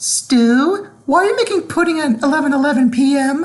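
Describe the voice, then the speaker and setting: A put-on character voice, female-sounding and high in pitch. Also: moderate pace. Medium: read story.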